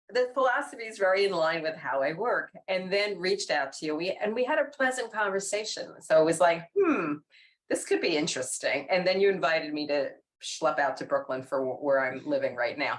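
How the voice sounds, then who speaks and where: A speaker with a New York accent talks at a fairly quick pace, the pitch making very wide swings. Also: woman, medium pitch for a woman. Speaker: organizational development practitioner. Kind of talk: casual conversation.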